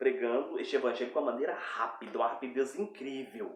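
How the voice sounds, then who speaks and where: There is audible echo from the room. The speaker is a man. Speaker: preacher. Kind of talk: bible teaching. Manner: fast.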